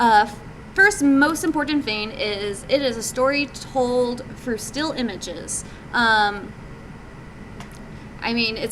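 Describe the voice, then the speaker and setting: Noticeable background noise sits behind a woman with a fairly high pitch. She speaks at a fairly slow pace with ordinary pitch variation. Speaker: game developer presenting at a meetup. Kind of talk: presentation talk. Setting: live meetup audience. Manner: many fillers (um, uh).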